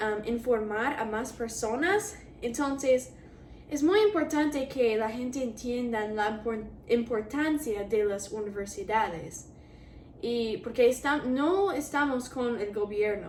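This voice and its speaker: Speaking very slowly, a woman uses a high pitch and an English accent. Her intonation is lively, and room echo is audible. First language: English (speaking Spanish). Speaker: university student vlogger. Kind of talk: casual vlog. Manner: hesitant, with fillers.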